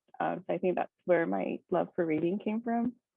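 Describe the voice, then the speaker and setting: A woman talks with a Korean accent and lively intonation. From Hawaii (Oahu, Kaneohe area). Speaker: engineering student. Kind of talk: presentation. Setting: video call. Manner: casual, many fillers.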